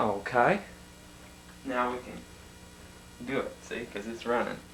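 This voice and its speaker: Fairly slow pace from a man, ordinary pitch variation, noticeable background noise. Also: medium pitch for a man. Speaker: family interviewer. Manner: hesitant.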